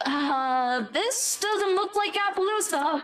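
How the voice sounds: An extremely high-pitched cartoonish character voice moves along at a fairly slow pace.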